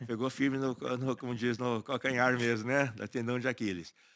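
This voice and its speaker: A man at medium pitch and a fairly slow pace, fairly even intonation, in a very clean recording with a silent background. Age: 60s. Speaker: agronomist and cattle farmer. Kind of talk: interview conversation. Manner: halting, with frequent repetitions.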